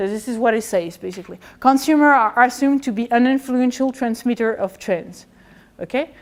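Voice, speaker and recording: A woman talks at a fairly quick pace with a French accent. Her pitch is high, with ordinary variation. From France. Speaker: historian of economics; lecturer. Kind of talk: lecture. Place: classroom.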